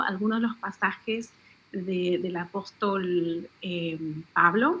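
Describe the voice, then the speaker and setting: Lively intonation marks a woman speaking with an Argentine accent. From Argentina. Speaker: author. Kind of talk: radio interview.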